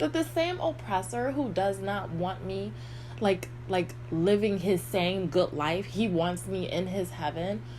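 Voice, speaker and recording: A woman speaking at a very slow pace amid noticeable background noise. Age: 50s. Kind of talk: casual talk to camera. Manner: rambling.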